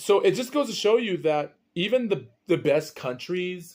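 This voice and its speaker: The speaker is a man. His intonation is lively. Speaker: podcast host. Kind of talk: solo podcast monologue. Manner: quiet, held-back voice; halting, repeats words.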